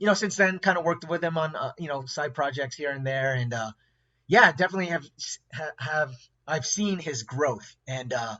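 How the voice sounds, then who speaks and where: At a moderate pace, a man with fairly high pitch uses an unremarkable speaking voice and ordinary pitch variation. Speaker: interview host. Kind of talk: casual podcast host intro.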